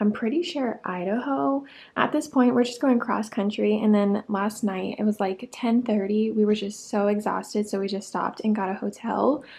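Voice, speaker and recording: A woman speaks in a fairly high voice, slightly breathy. She barely pauses at all. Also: ordinary pitch variation, moderate pace. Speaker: lifestyle vlogger. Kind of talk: casual vlog.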